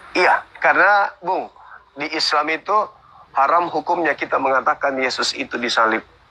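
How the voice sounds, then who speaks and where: Speech at a moderate pace with noticeable background noise. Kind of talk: religious debate. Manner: soft-spoken.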